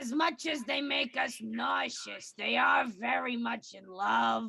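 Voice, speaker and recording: This put-on character voice sounds female, fairly high-pitched, and raspy. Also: fairly slow pace. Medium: game stream. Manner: playful, casual.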